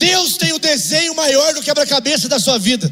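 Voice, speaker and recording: A man's raised, projected voice, animated and extremely high in pitch. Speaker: preacher. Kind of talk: sermon. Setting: church. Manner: exhortative.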